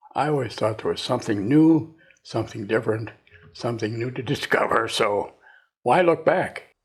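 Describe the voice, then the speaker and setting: A somewhat breathy man with an American accent, medium in pitch with ordinary pitch variation, at a moderate pace on a very clean recording with a silent background. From US Midwest, northern Wisconsin. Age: 90s. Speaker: retired inventor and entrepreneur. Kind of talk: interview. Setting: at his home.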